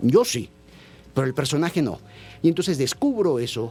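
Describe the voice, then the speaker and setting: With music playing behind him, a man's fairly high-pitched voice moves at a moderate pace. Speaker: theatre director. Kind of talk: radio interview.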